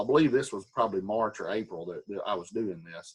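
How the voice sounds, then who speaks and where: A fairly quick pace, an unremarkable speaking voice and a quiet background. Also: man. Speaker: Sunday school teacher. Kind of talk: Bible study lesson.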